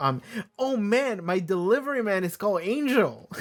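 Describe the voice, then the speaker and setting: In a very clean recording with a silent background, a man speaks with a non-native accent. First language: not English. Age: 20s. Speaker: TV show reaction youtuber. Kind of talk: casual chat. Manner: rambling, hesitant with fillers.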